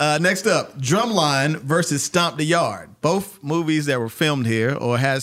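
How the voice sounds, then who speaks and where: A man with an American accent and a fairly high pitch, lively intonation at a moderate pace, hardly any pauses, a normal speaking voice. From North Carolina. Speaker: podcast host. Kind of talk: casual interview chat.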